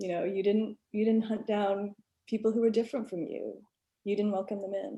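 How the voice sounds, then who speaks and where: Somewhat breathy and dark, mellow in tone, a woman with an American accent speaks at a moderate pace and fairly high pitch with fairly even intonation. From rural US South. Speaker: alumna. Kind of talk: panel discussion. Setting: video call. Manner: casual, many fillers.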